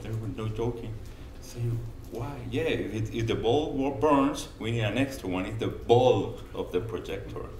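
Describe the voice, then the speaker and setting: A man speaks with a Spanish accent. Noticeable background noise and audible room echo fill the recording. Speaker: conference presenter. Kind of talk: conference presentation. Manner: halting.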